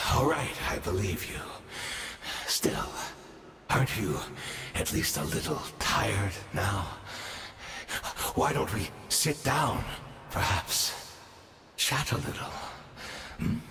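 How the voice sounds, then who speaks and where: A man's put-on character voice, fairly low in pitch, with very wide pitch swings, a fairly slow pace, long, frequent pauses and clear background noise. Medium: video game. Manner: measured, condescending.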